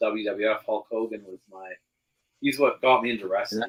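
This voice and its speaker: Using an ordinary speaking voice with a Canadian accent, a man talks at a moderate pace and a medium pitch. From western Canada (British Columbia). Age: 40s. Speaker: podcast co-host. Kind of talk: casual chat.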